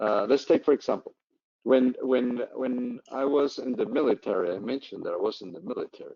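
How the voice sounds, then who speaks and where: A man with a non-native accent, fairly quick in pace, with big swings in loudness. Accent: foreign accent in US English. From Colombia. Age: old. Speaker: professor. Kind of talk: Q&A after online lecture.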